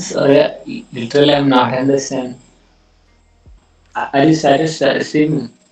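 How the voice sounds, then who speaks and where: A man's fairly high voice at a fairly slow pace, with very even loudness, ordinary pitch variation, long, frequent pauses and music in the background. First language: not English. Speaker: chess student. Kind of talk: casual chat. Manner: halting.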